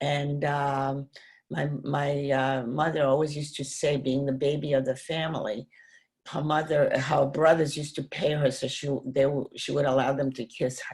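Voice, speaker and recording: At a moderate pace, a woman with a very deep, low pitch talks in a monotone, flat way, her voice somewhat breathy. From Poland. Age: 80s+. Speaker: Holocaust survivor. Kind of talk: interview.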